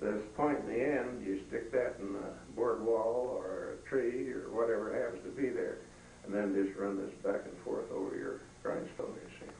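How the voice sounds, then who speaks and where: Over noticeable background noise and audible room echo, a man speaks at a moderate pace with big swings in loudness. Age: 80s+. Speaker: retired livestock specialist. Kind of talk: museum talk. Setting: museum room with small audience. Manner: halting.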